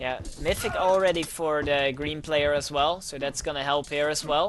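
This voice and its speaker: With a Dutch accent, the speaker keeps a moderate pace over noticeable background noise. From Netherlands. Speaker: video game caster. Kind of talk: live commentary. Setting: livestream.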